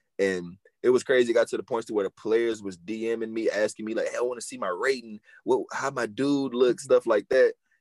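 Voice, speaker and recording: A man talks fairly quickly with an American accent. The sound is dry and close, with no echo. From Houston, Texas. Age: 20s. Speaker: semi-pro football player and rapper. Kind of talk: casual chat.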